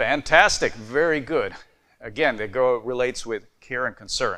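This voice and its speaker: A man with a bright, sharp tone speaks at a moderate pace, his medium pitch showing ordinary variation. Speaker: conference speaker on sleep medicine. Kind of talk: conference presentation. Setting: stage with audience. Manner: conversational, interactive with audience.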